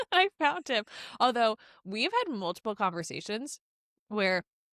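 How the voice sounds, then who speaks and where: A woman speaks loudly at medium pitch and a moderate pace, with lively intonation and a bright, sharp tone. The sound is dry and close with no echo, in a very clean recording with a silent background. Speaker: podcast co-host. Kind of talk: casual chat. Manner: loud, projects voice.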